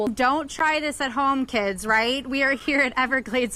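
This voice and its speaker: A raised, projected American-accented voice with a bright, sharp tone and ordinary pitch variation. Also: woman. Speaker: TV news reporter and anchor.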